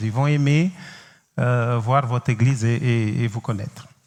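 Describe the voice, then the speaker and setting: A man speaks with a Cape Verdean accent. His voice is somewhat breathy. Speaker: pastor. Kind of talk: sermon. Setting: church. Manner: halting, frequent hesitations.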